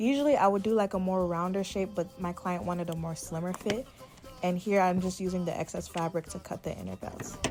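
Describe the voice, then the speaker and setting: A woman's medium-pitched voice holds fairly even intonation while music plays in the background. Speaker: dressmaker. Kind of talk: tutorial. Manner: fast; casual.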